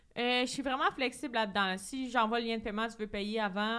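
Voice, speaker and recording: A woman talks at a fairly quick pace in a Quebec accent. Her intonation stays fairly even. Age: 20s. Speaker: entrepreneur. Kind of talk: casual chat.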